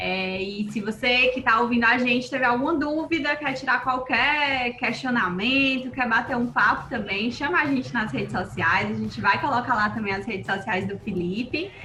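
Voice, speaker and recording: A woman's high voice with ordinary pitch variation at a moderate pace, hardly any pauses, noticeable background noise and audible room echo. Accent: Cearense. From Brazil, Ceará (Fortaleza). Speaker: nutritionist and podcast host. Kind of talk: podcast interview.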